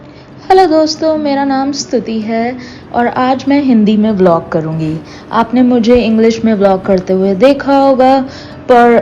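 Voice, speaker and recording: Noticeable background noise behind a woman's fairly high-pitched voice with lively intonation. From Punjab, India. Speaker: lifestyle vlogger. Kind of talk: scripted vlog voice-over. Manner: Hindi mixed with English words.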